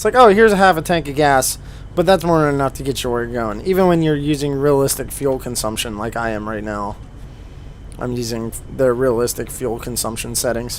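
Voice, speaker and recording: A relaxed, medium-pitched male voice, fairly quick with lively intonation, over noticeable background noise. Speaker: gaming video creator. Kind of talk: gameplay commentary. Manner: casual, relaxed.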